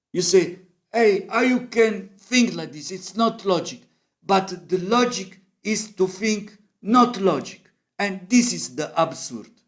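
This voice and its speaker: Audible room echo surrounds a man with a high pitch who talks very slowly, with ordinary pitch variation and big swings in loudness. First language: Italian. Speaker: musician and amateur math explainer. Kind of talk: informal lecture. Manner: halting.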